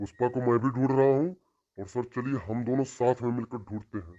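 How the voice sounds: A man puts on a cartoonish character voice. It sits at a medium pitch with ordinary pitch variation. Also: fairly quick pace.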